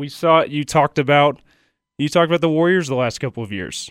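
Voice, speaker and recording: Here a man with an unremarkable speaking voice talks at a moderate pace, his pitch fairly high. The sound is dry and close with no echo, on a very clean recording with a silent background. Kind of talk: radio sports patter. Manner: brisk, upbeat station-promo delivery.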